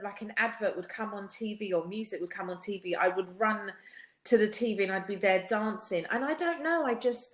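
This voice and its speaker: A woman speaks with a British accent at a moderate pace. Her intonation is lively. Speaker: singer. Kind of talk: podcast interview.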